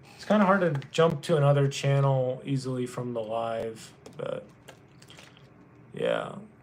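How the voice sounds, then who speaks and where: A man with an American accent and a fairly high pitch speaks at a fairly slow pace with ordinary pitch variation, big swings in loudness and long, frequent pauses, over audible room echo and noticeable background noise. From US South, North Carolina. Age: 20s. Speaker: livestreamer. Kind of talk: casual chat. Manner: subdued, defeated-sounding.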